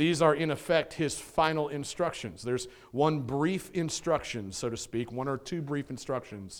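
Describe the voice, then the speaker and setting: In an ordinary speaking voice, a man talks at a moderate pace with a fairly high pitch and ordinary pitch variation. The recording is very clean, with a silent background. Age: 40s. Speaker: pastor. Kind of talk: Sunday sermon, vivid storytelling of Paul's final moments. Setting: church. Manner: warm, conversational preaching with filler words and rhetorical 'right?'.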